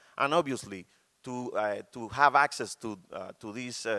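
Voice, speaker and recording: A man speaks against a quiet background. His medium-pitched voice has a bright, sharp tone and ordinary pitch variation. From Cuba. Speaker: artist. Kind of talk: panel presentation. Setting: stage with audience. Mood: calm, reflective, some hesitations. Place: hall. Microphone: camera far.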